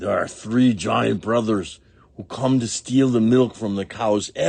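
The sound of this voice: Intonation stays fairly even in this unforced reading voice.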